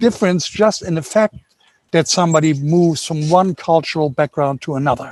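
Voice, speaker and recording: A man speaks with a German accent. His pitch is high. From Germany. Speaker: workshop participant. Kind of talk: audience Q&A contribution. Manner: halting.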